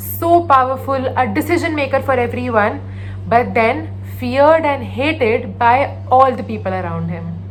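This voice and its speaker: A woman with an Indian accent at a moderate pace, with noticeable background noise. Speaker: storyteller. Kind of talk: motivational story narration, mixing English and Hindi.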